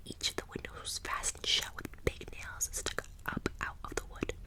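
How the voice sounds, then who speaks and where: A woman whispers at moderate speed while noticeable noise carries on in the background. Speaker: ASMR artist. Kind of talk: ASMR scary story narration. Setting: close-mic studio. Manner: whispered, soft, tingly.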